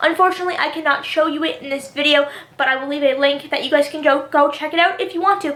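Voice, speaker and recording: Very fast talking with ordinary pitch variation over noticeable background noise. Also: woman, high pitch for a woman. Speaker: youtuber, TV show commentator. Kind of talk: casual vlog commentary. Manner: repeats herself, stumbling.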